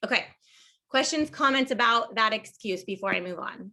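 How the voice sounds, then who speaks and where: Bright and sharp in tone, the voice rises and falls with lively intonation. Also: woman. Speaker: team leader giving a training talk. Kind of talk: online training presentation. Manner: fast; animated.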